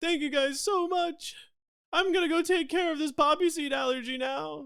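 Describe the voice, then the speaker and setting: Extremely high-pitched put-on character voice from a man, moderate in pace. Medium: actual play. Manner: nervous, fretful.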